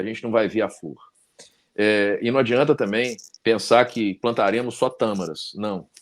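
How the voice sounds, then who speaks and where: At a fairly slow pace, a man with a normal speaking voice speaks at medium pitch with ordinary pitch variation. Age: 50s. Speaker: talk show host and law professor. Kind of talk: casual interview chat.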